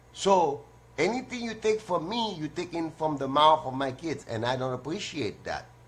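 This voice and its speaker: Somewhat breathy, a man's fairly high voice moves in very wide pitch swings. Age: 60s. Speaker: call-in show host. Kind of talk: casual monologue. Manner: animated.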